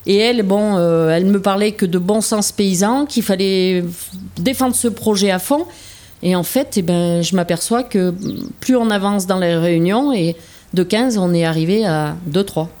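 Here a woman talks at a fairly slow pace in a medium pitch. Her loudness stays very even. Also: ordinary pitch variation. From France, Auvergne (Puy-de-Dôme). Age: 50s. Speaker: dairy farmer. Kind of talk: interview testimony. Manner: hesitant, with frequent fillers.

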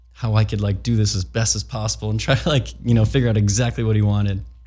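A man with an American accent speaks at a very fast pace and fairly low pitch. His voice is somewhat breathy, with a dark, mellow tone and ordinary pitch variation. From US Midwest, Chicago. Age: 30s. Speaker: skateboard filmer. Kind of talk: casual interview.

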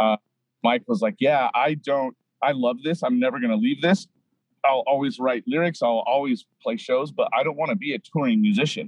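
A man with an American accent and an unremarkable speaking voice talks at a moderate pace with fairly high pitch. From Southern California. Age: 30s. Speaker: punk drummer. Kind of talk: casual chat.

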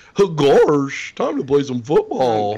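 Using a fairly high pitch, a man performs a put-on character voice.

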